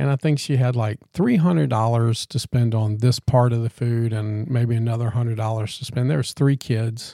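A man speaks at a moderate pace with hardly any pauses, his tone dark and mellow in a dry, close sound with no echo. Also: medium pitch for a man, ordinary pitch variation. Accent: Louisiana. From Louisiana, Baton Rouge area. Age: 50s. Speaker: podcast co-host. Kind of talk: casual chat.

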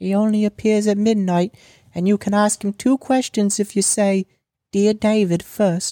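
Over a quiet background, the passage is read aloud in a natural voice.

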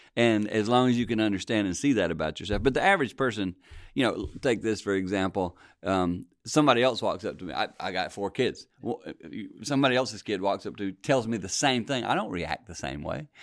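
A normal speaking voice from a man, fairly low in pitch, with lively intonation and a fairly quick pace, on a very clean recording with a silent background. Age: 60s. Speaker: pastor and marriage ministry leader. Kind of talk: casual chat.

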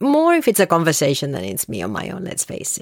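A woman talks at a fairly quick pace in a dry, close sound with no echo. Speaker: solo podcast host. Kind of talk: casual solo monologue. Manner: rambling, conversational with hesitations.

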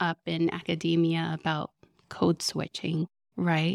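Speaking fairly slowly, a woman has an American accent. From Southern California. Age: 30s. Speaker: spiritual director. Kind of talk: live podcast interview. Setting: stage with audience.

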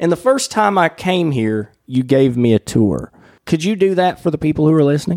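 The speaker has a Southern US accent. The pace is moderate. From US South. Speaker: podcast host. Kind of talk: casual interview. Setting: in person at a coworking space.

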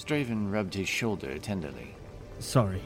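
The unforced reading voice has pitch that shifts in an ordinary way.

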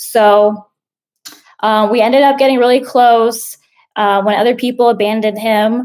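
A woman speaks in an ordinary speaking voice, fairly high in pitch with fairly even intonation, at a moderate pace. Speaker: community member asking a question. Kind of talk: personal question with background story.

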